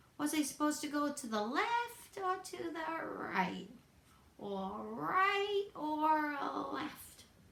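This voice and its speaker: In a put-on character voice, the speaker uses a high pitch with very wide pitch swings at a very slow pace. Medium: read story. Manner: eager, absent-minded.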